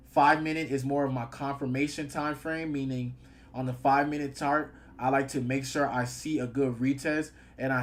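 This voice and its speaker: A man speaks in a fairly high pitch at a fairly quick pace. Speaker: trading educator and live streamer. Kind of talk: live-stream chart analysis tutorial. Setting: live stream in front of camera. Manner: fast; animated.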